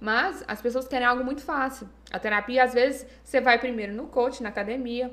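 A woman with an unremarkable speaking voice keeps a moderate pace, and her pitch varies in an ordinary way. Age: 20s. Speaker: psychologist. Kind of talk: podcast interview.

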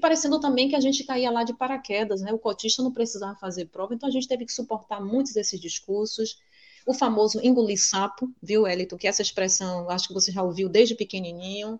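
A woman with a fairly high pitch talks at a very fast pace with hardly any pauses. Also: ordinary pitch variation. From Salvador, Bahia, Brazil. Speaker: teacher and researcher. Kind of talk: casual interview chat.

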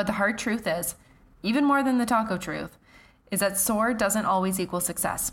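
In a very clean recording with a silent background, a woman with a Canadian accent talks at a fairly quick pace in a plain, everyday voice with ordinary pitch variation. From Canada. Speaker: fitness coach and podcast host. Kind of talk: solo podcast monologue.

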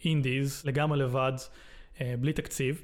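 At a moderate pace, a man talks with a fairly high pitch in an ordinary speaking voice. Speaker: game developer. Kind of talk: interview.

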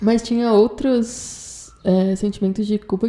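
A woman's dark, mellow voice sits at a fairly high pitch with fairly even intonation. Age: 20s. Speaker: journalism student. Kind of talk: personal testimony.

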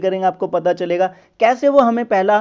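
A man speaks at a moderate pace. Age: 30s. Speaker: podcast host and sales and finance consultant. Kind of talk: monologue introduction.

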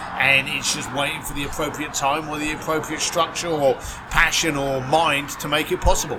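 Over noticeable background noise, a man with a fairly high pitch talks at a moderate pace in a monotone, flat intonation. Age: 50s. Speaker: concierge business founder. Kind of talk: interview conversation.

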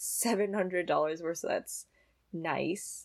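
An unremarkable speaking voice from a woman, medium in pitch and at a fairly slow pace. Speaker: college student and pianist. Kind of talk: casual interview.

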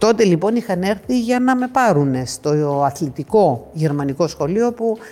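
This woman has a dark, mellow tone at a medium pitch. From Greece. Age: 50s. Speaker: athlete. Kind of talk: interview.

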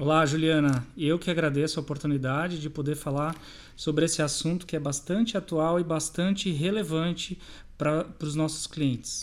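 Fairly high in pitch, a man's unremarkable speaking voice moves at a moderate pace. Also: very clean recording, silent background. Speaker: bank cybersecurity and fraud prevention adviser. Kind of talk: interview.

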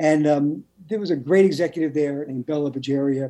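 At a moderate pace, a man speaks with a dark, mellow tone, a fairly high pitch and ordinary pitch variation. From Brooklyn, New York. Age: middle-aged. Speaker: TV writer and novelist. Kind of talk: interview.

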